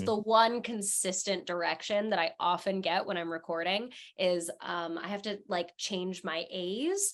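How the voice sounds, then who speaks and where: A woman with a normal speaking voice and medium pitch talks at a fairly slow pace with fairly even intonation and hardly any pauses. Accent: American. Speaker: voice actor. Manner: conversational, casual.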